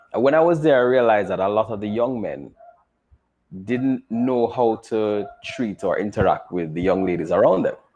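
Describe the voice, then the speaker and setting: With a Jamaican accent, a man speaks with lively intonation. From Jamaica, Kingston. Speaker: engineer and teacher. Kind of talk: interview.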